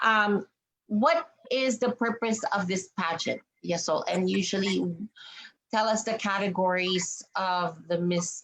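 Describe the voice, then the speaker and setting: A woman with an unremarkable speaking voice talks at a fairly slow pace, her pitch varying in an ordinary way. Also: medium pitch for a woman. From Canada. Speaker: pageant interviewer. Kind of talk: interview.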